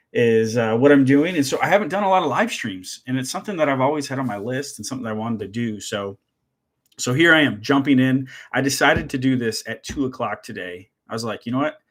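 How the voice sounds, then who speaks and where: Speaking at a very fast pace, a man with an American accent and a medium pitch uses lively intonation on a very clean recording with a silent background. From Michigan. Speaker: woodworking and CNC YouTuber. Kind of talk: live stream chat with viewers. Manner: halting, many fillers.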